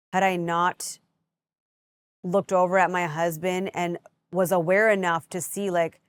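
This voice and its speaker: A woman talks at a moderate pace in a fairly low, monotone, flat voice, on a very clean recording with a silent background and a dry, close sound with no echo. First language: not English. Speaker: podcast host. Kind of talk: solo podcast monologue. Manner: talks in circles, jumps around.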